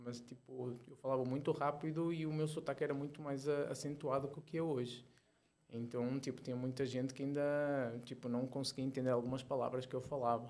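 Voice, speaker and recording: Speaking at a fairly quick pace, a man with a medium pitch keeps his intonation monotone and flat. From Portugal. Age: 40s. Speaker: ultramarathon runner and entrepreneur. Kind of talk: casual interview chat. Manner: fast.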